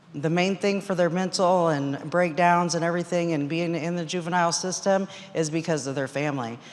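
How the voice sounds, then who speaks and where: A woman speaks at a moderate pace with a fairly low voice. Noticeable echo from the room surrounds her. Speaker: court clerk asking audience question. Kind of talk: audience question at conference. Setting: audience microphone at conference session. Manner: loud.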